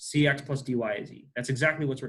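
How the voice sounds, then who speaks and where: A man's fairly high-pitched voice, bright and sharp in tone, with fairly even intonation. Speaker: math teacher. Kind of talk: lecture. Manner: fast; halting.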